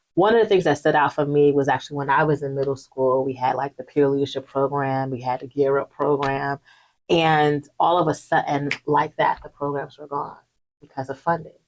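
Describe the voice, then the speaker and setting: A woman's very deep, low voice with a New Jersey accent, fairly even intonation and a moderate pace. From Newark, New Jersey. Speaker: youth development leader. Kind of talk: interview.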